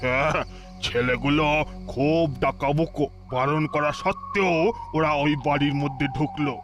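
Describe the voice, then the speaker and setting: A man uses a cartoonish character voice at a fairly high pitch and fairly slow pace as clear music plays in the background. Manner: gossipy, wary.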